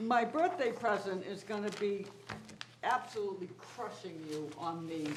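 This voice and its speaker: A woman at a moderate pace with ordinary pitch variation, over noticeable background noise and audible room echo. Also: medium pitch for a woman. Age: 70s. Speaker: select board member. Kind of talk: public meeting banter. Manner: animated.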